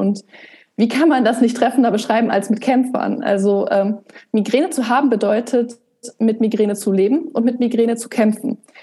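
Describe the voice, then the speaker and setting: A woman talks in an unremarkable speaking voice with a fairly high pitch. Her pace is moderate and her intonation fairly even. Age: 20s. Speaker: blogger and author on migraine. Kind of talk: podcast interview.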